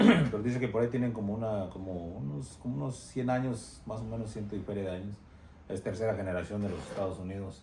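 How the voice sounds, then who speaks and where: Speaking very fast with lively intonation and a Spanish accent, a man is heard amid audible room echo. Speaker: interviewer. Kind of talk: bilingual interview with translation. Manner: halting.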